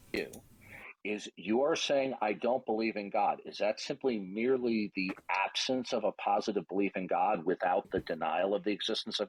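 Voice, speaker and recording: Recorded dry and close with no echo, a man with an ordinary speaking voice talks at a moderate pace and a fairly low pitch, with ordinary pitch variation. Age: 60s. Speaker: debater. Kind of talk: heated debate.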